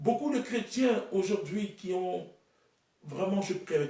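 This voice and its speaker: A man talks with a high pitch and ordinary pitch variation. There is audible room echo. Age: 30s. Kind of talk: sermon.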